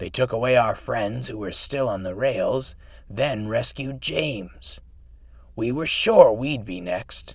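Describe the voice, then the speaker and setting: A man puts on a character voice at a medium pitch, wheezy and hoarse with a weary tone. He speaks at a fairly slow pace. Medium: read story. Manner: cackling, world-weary.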